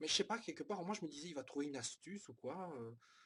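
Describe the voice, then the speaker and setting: A man talks with lively intonation. His voice is somewhat breathy. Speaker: manga reviewer. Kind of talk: casual review monologue. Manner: halting, many fillers.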